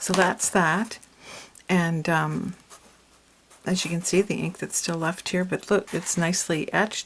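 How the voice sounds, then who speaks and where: A fairly low-pitched woman's voice amid noticeable background noise. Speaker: papercraft YouTuber. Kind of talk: product haul video. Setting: home craft studio. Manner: casual, hesitant with fillers.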